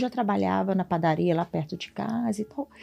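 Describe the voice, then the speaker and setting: A woman's fairly even intonation over music in the background. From Brazil, Minas Gerais (Governador Valadares). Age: 40s. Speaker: church volunteer and mother. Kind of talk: testimony.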